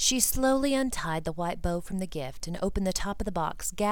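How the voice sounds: This is a natural reading voice. It reads the lines as a natural reading voice.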